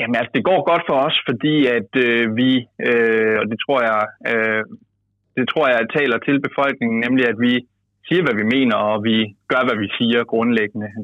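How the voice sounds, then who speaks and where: The delivery is fairly slow, with ordinary pitch variation, long, frequent pauses and very even loudness. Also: man, medium pitch for a man. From Denmark, Jutland. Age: 20s. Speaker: youth party leader, politician. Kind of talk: interview. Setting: phone call.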